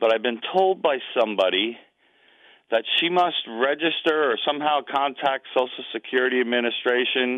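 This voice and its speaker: A normal speaking voice from a man, medium in pitch, at a moderate pace, with very even loudness and ordinary pitch variation. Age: 60s. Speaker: caller. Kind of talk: phone-in question.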